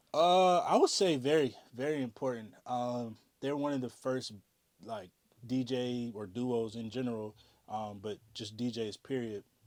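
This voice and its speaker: An unremarkable speaking voice, this man talks at a fairly slow pace and medium pitch with ordinary pitch variation, in a very clean recording with a silent background. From US South, North Carolina and Virginia. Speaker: DJ and music artist. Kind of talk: interview. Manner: casual, many fillers.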